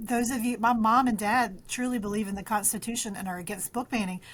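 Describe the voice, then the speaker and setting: Over a silent background in a very clean recording, a woman with a Southern US accent talks fairly quickly at a fairly high pitch with fairly even intonation. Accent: country twang, Southern. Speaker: librarian and author. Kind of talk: interview. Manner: halting, many fillers and restarts.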